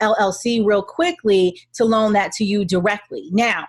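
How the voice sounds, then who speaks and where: A woman's fairly high, somewhat breathy voice shows ordinary pitch variation. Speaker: real estate attorney and investor. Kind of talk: webinar Q&A presentation. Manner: fast.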